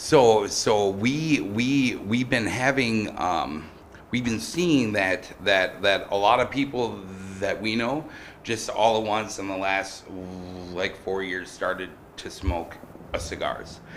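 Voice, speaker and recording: Slowly, very slowly, a man speaks at a fairly low pitch with ordinary pitch variation. Audible room echo surrounds the voice. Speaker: small business owner applying for tobacco license. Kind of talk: public comment at council meeting. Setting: city council chamber. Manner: halting, many fillers and repetitions.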